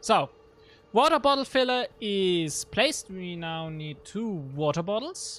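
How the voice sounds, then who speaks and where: Someone with a German accent talks at a fairly slow pace. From Germany, Regensburg area. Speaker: gaming streamer. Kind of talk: live gameplay stream. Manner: casual, halting with fillers.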